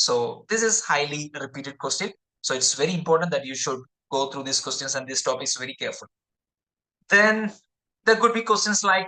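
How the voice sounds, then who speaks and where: The speaker talks with a Keralan accent. The pace is fairly quick. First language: Malayalam. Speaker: exam prep tutor. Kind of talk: tutorial. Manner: halting.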